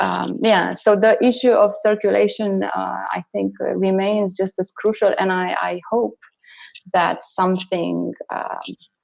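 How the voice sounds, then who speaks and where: A woman talks at a fairly slow pace. She has a non-native accent. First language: not English. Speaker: artist and choreographer. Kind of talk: online panel discussion. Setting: online video event. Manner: hesitant, many fillers.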